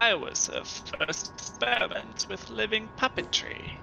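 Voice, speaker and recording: A man in a put-on character voice at a moderate pace, with clear background noise. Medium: actual play.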